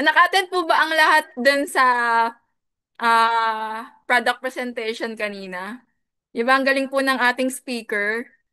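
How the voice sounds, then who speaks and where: A woman's raised, projected voice, high in pitch and bright and sharp in tone, with ordinary pitch variation, long, frequent pauses and a quiet background. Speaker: business coach, former teacher. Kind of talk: business opportunity seminar. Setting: video call. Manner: energetic.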